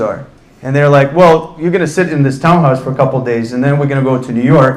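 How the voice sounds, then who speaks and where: A man speaks with a fairly high pitch and fairly even intonation. Audible room echo is present. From Russia, Ufa. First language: Russian. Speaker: entrepreneur on a panel. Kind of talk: panel talk, personal story.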